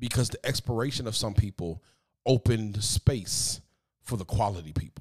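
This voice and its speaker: Somewhat breathy and animated, a man speaks at a moderate pace with a fairly low pitch and ordinary pitch variation, dry and close with no echo. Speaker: podcast host and preacher. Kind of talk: motivational solo podcast talk. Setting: hotel room. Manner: sometimes sounds preachy.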